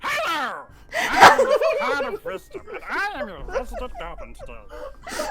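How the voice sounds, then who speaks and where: The voice is a put-on character voice, extremely high and swinging very widely in pitch. It moves at a moderate pace over light background noise. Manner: silly.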